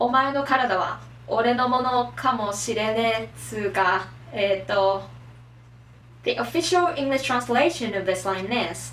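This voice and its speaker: A woman with lively intonation over music in the background. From Japan. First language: Japanese. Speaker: anime and manga explainer. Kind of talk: casual talk to camera. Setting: poor microphone.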